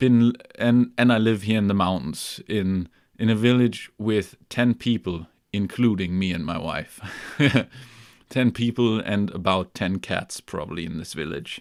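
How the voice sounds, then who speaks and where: A man with a German accent talks at a fairly slow pace in a relaxed tone. His fairly low pitch shows ordinary variation on a very clean recording with a silent background. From Germany, near Hamburg. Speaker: music gear YouTuber. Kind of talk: live stream chat. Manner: relaxed, with many fillers.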